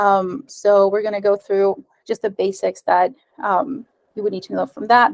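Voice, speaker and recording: Moderate pace with ordinary pitch variation, in a Spanish accent, and a dry, close sound with no echo. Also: woman. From Ecuadorian American. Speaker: software developer and meetup presenter. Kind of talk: tech talk presentation. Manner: casual with frequent filler words.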